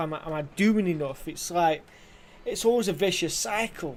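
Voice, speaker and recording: With a dark, mellow tone and big swings in loudness, a man talks at a moderate pace, his pitch high with ordinary variation. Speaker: gaming streamer. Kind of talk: casual live-stream chat while gaming. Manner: halting.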